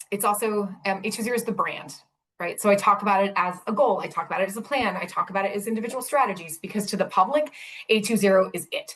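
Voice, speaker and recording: Speaking at a very fast pace, a woman rushes along. Her pitch sits in the medium range. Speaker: city sustainability director. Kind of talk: presentation. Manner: animated.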